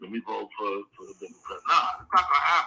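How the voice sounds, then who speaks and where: A man speaks at a moderate pace. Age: 60s. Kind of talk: casual chat.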